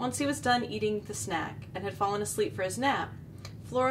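An unforced voice reading, with pitch varying ordinarily.

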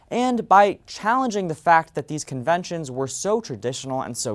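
At a moderate pace, a man speaks over a quiet background. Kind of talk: competitive speech. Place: stage.

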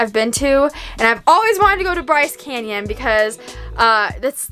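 Over faint background music, a woman speaks in a raised, projected voice at a moderate pace. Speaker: travel vlogger. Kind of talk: casual vlog chat. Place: home room. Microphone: phone near.

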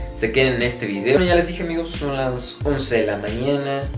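The speech moves at a fairly quick pace while clear music plays in the background. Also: man. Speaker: student vlogger. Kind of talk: casual vlog chat. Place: home room. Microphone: phone near.

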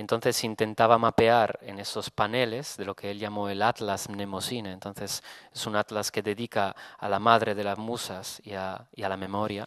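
A man talks at a fairly slow pace with a fairly low pitch. His intonation is flat and monotone, and the sound is dry with no echo. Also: quiet background. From Italy. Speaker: photographer. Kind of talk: lecture. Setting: stage with audience. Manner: halting. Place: hall. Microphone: podium.

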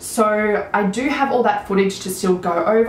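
A woman speaks with ordinary pitch variation. Audible room echo and light background noise are present. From Australia. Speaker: beauty vlogger. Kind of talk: casual chat; casual vlog chat. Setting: home video recording. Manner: animated. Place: home room.

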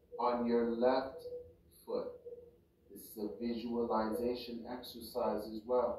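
Noticeable background noise sits behind a man speaking at a very slow pace. His medium-pitched voice keeps a fairly even intonation. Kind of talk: guided meditation, reading Qi Gong instructions aloud. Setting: home recording for YouTube, background audio playing. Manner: slow, measured, repetitive instruction-giving with pauses; casual, rambling, halting with fillers.

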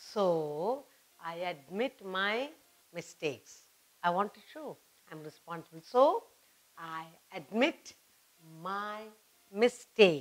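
A woman speaks at a very slow pace with lively intonation and long, frequent pauses. Her loudness swings a lot. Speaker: teacher. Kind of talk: lesson for children. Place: studio.

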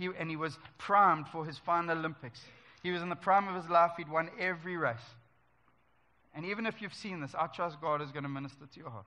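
At a very fast pace, a man talks in a high pitch with a bright, sharp tone. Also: ordinary pitch variation. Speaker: preacher. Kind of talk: church sermon. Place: church.

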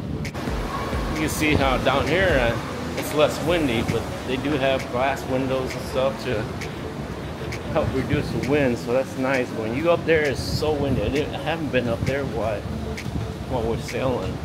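Loud background noise sits behind a man speaking. He goes at a fairly slow pace with ordinary pitch variation. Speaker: travel vlogger. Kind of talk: casual vlog chat. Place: boat. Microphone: phone near.

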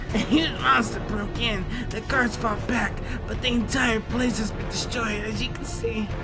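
A raspy, put-on character voice moves at a moderate pace over loud background noise.

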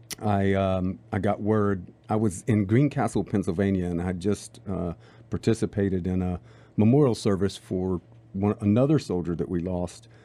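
At a moderate pace, the speaker uses ordinary pitch variation in a dark, mellow tone. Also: man, fairly low pitch for a man. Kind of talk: radio talk show chat. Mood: reflective, somber memories. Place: studio. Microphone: studio mic.

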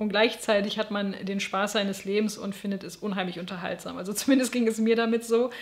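Speaking at a fairly quick pace with hardly any pauses, a woman keeps a monotone, flat intonation. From West Germany. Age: 30s. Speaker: book YouTuber. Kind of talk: book review monologue.

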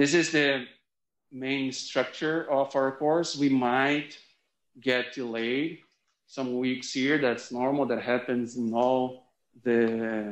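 The speaker has a Brazilian accent and talks at a very slow pace with fairly even intonation. Audible room echo surrounds the voice. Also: man. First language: Portuguese. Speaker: sociology professor. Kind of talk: lecture. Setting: classroom, also streamed online. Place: classroom.

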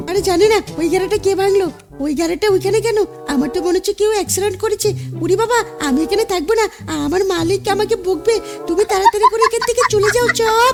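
Clear music sits behind a put-on character voice pitched extremely high and delivered at a fairly quick pace. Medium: machinima. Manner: playful, teasing.

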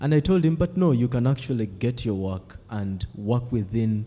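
At a moderate pace, a man talks in a dark, mellow tone that is somewhat breathy. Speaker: PhD student. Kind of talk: academic discussion. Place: classroom.

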